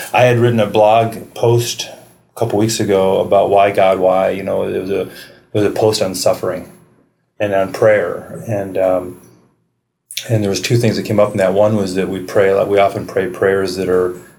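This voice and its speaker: Over audible room echo, a man talks at a moderate pace in a fairly low pitch with monotone, flat intonation. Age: 40s. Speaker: podcast host. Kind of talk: casual chat. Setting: public library.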